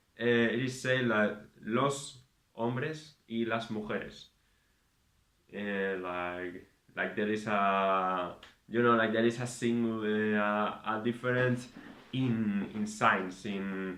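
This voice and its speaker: A man with a Spanish accent speaks at a very slow pace and a fairly low pitch, leaving long, frequent pauses. Audible room echo surrounds his voice. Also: fairly even intonation. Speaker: vlogger. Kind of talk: casual monologue. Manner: halting, many fillers.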